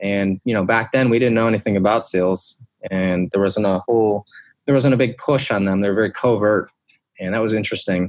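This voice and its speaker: This man speaks with a Midwestern American accent. His pitch is fairly low and his intonation fairly even. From US Midwest, Detroit, Michigan. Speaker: former Navy SEAL, veterans charity founder. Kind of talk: interview.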